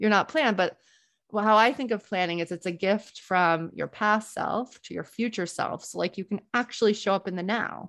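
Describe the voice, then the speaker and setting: Over a quiet background, a woman with an American accent speaks at a fairly quick pace and a medium pitch, with ordinary pitch variation and vocal fry, in a dry, close sound with no echo. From US South, New Orleans. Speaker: entrepreneur and planning coach. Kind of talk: casual interview chat.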